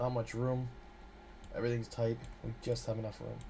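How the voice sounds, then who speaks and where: Noticeable background noise fills the recording. A man talks through it. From Canada. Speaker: game developer streamer. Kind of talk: live-streamed coding tutorial. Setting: live stream. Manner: casual, hesitant with fillers.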